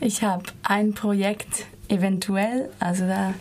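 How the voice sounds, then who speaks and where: A woman speaks over noticeable background noise. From Switzerland. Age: 20s. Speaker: dance student. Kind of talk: radio interview. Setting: studio.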